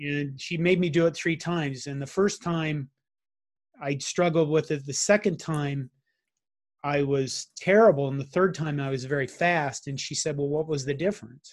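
Over a quiet background, a man with an unremarkable speaking voice talks at a moderate pace, fairly high in pitch with fairly even intonation. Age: 50s. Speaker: IT consultant, heart attack survivor. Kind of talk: interview, personal testimony.

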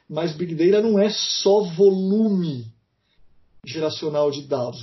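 This man has a high voice with ordinary pitch variation, and he talks at a fairly slow pace. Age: 40s. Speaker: university professor. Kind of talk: interview.

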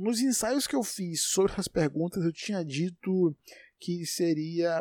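A man with a high pitch and a dark, mellow tone speaks fairly slowly. The recording is very clean, with a silent background and a dry, close sound with no echo. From Brazil, Salvador, Bahia. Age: 20s. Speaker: podcast host. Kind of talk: solo monologue, casual. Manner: unedited, informal with hesitations.

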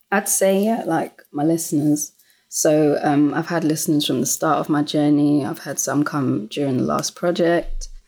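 A woman with a London accent and a very deep, low pitch, a dark, mellow tone, ordinary pitch variation and a moderate pace, in a very clean recording with a silent background. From South London (Lewisham). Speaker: musician. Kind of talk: casual chat.

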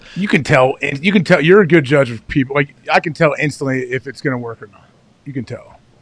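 A man talks at a very fast pace with ordinary pitch variation. His voice is somewhat breathy and swings widely in loudness. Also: fairly high pitch for a man. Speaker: former pro football player, show co-host. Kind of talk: casual sports talk chat.

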